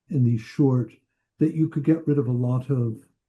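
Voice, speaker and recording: Speaking at a moderate pace with an American accent, a man has a dark, mellow, somewhat breathy voice with ordinary pitch variation. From US Midwest, northern Indiana. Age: 70s. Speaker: psychoanalyst and author. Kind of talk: interview.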